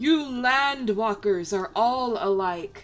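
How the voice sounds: Over faint music in the background, a put-on character voice speaks at a fairly high pitch and a very slow pace.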